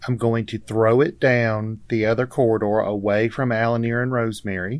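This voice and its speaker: A man's ordinary speaking voice, moderate in pace and medium in pitch, its intonation fairly even. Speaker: tabletop game player. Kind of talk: casual role-play chat.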